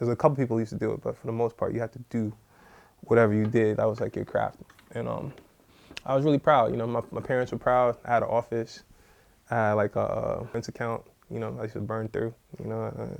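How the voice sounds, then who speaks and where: Talking at a very fast pace with a New York accent, a man breaks his speech with long, frequent pauses. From New York (born Trinidad and Tobago). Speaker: music industry executive. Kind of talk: interview. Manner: casual, filler-heavy.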